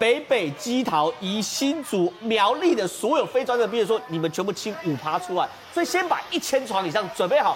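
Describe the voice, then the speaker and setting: With noticeable background noise behind him, a man speaks at a moderate pace in a high pitch that makes very wide swings. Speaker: TV political talk show commentator. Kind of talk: TV panel discussion.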